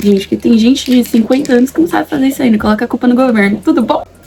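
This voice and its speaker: Against noticeable background noise, a woman talks in an animated tone with a high pitch and lively intonation. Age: 20s. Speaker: YouTuber, aspiring actress. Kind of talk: casual vlog chat while doing makeup. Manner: animated, informal.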